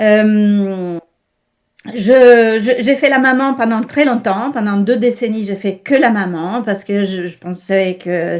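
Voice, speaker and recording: In an Italian accent, a woman speaks at a very slow pace and a medium pitch with ordinary pitch variation on a very clean recording with a silent background. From Italy. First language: Italian (speaking French). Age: 60s. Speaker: interview guest, online wellness worker. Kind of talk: interview.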